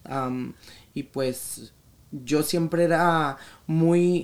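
Male speech, its pitch varying an ordinary amount. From US, raised by Mexican family from Sinaloa. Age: 20s. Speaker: influencer. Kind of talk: casual chat.

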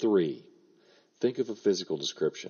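A man speaking at a moderate pace. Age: 50s. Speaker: writing podcast host and writing teacher. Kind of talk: solo podcast tutorial. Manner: casual with frequent fillers.

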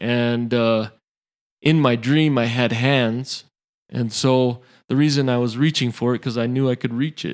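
The speaker has a normal speaking voice and an American accent, with fairly even intonation. The recording is very clean with a silent background. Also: man. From Utah, Samoan family. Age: 30s. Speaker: former power lineman, injury survivor. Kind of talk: interview testimony.

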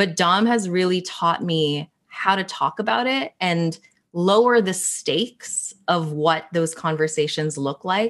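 A woman with a Canadian accent speaks in an ordinary speaking voice, fairly low in pitch with ordinary pitch variation, at a fairly slow pace against a quiet background. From Canada, Greater Toronto Area. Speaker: writer and social justice advocate. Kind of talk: casual interview chat.

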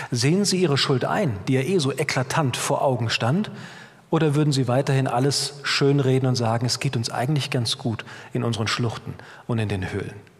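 With noticeable background noise around him, a man speaks at a moderate speed, his fairly high pitch showing ordinary variation. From Germany, Middle Rhine (Bad Kreuznach, near Mainz). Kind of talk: sermon. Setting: church.

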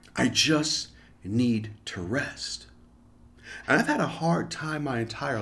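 A man talks with lively intonation and vocal fry. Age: 50s. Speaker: podcast host. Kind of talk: solo monologue.

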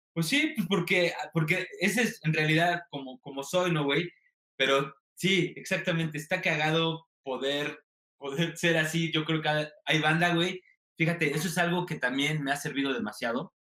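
A man with a Mexican accent speaks at a moderate pace in a bright, sharp tone, his pitch fairly high with ordinary variation. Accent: regional sing-song Mexican. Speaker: TikTok comedian and content creator. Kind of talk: interview. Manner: sing-song intonation.

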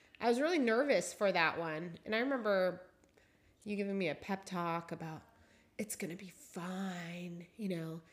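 A woman with an American accent has an unremarkable speaking voice, medium pitch, ordinary pitch variation and a moderate pace. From Seattle. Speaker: amateur trail runner, host's wife. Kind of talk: casual chat.

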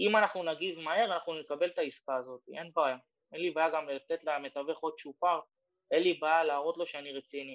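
Heard in a dry, close recording with no echo, a man with a plain, everyday voice speaks at a fairly quick pace in a fairly high pitch with fairly even intonation. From Ramla, Israel. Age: 30s. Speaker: real estate broker. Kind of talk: workshop talk over Zoom. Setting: Zoom workshop.

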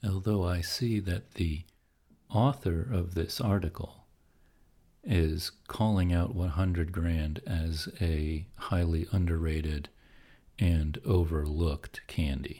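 A man talks very slowly in a very deep, low voice that is somewhat breathy. His tone is dark and mellow. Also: ordinary pitch variation, very clean recording, silent background. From Pennsylvania, US. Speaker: podcast host. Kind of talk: sleep podcast monologue.

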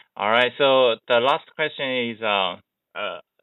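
A man speaks with a Chinese accent. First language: Mandarin Chinese. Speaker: skateboarding podcast host. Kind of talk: interview; scripted narration.

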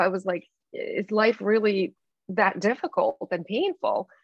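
In a Russian accent, a woman speaks at a moderate pace and a medium pitch. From Belarus. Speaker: life coach. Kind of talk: interview.

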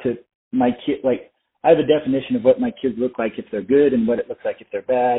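An American-accented man speaks at a medium pitch with ordinary pitch variation. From Arizona, US (Flagstaff). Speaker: firefighter and stepdad. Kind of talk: interview. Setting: call.

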